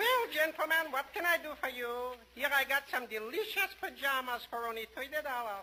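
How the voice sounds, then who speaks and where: In a put-on character voice, the speaker talks in a high, sing-song pitch at a moderate pace with hardly any pauses. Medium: old radio play. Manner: sing-song, gleeful, hooting.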